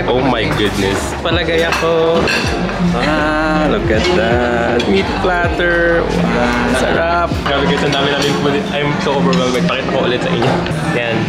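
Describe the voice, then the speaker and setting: Over loud background music, a man speaks at a fairly slow pace. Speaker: vlogger. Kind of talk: casual vlog chat. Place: cafe. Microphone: phone near.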